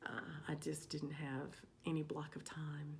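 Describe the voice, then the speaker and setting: Soft-spoken with vocal fry, a woman with a very deep, low pitch talks at a fairly slow pace amid audible room echo. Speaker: cross stitch vlogger. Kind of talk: casual vlog update. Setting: home stitching room. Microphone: new microphone.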